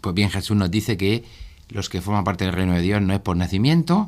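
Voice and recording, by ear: This man speaks at a fairly quick pace in a low pitch, with ordinary pitch variation and a slightly mellow tone.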